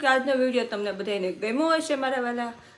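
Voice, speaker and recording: A woman speaks in a high voice with an animated tone and ordinary pitch variation. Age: 30s. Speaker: cooking vlogger. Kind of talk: casual vlog chat.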